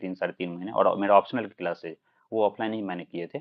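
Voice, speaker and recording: A man speaks with a fairly low pitch. His pace is moderate. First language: Maithili (speaking Hindi). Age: 20s. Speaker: civil services exam topper. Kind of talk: live-stream Q&A interview.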